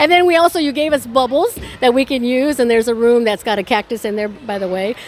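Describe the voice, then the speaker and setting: A woman talks at a very fast pace in a high pitch, her tone animated and her intonation lively, with music in the background. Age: 60s. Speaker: entertainment interviewer. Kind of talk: interview.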